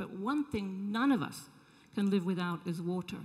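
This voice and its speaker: Against a quiet background, a woman speaks in a somewhat breathy voice of medium pitch. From England. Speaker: social entrepreneur; panelist. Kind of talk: panel discussion. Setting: stage with audience. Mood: earnest, engaged. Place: hall. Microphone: handheld.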